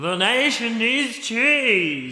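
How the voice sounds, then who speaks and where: A man puts on a character voice, high in pitch, with a clear echo around it. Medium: audio drama. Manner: menacing, cryptic.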